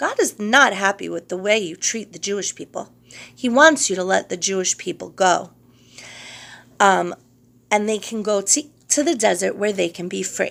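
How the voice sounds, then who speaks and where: A woman puts on a raspy character voice at a medium pitch. She keeps a moderate pace but leaves long, frequent pauses. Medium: read story. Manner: earnest, solemn.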